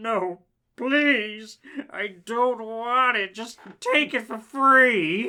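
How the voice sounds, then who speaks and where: A put-on character voice pitched fairly high. The delivery moves at a very slow pace. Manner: scary.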